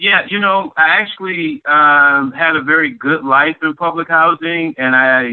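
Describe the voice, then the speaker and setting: Someone speaks in an American accent at a fairly slow pace. The pitch variation is ordinary. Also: man. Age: 50s. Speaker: public housing resident, oral history narrator. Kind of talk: oral history interview. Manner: halting, many fillers.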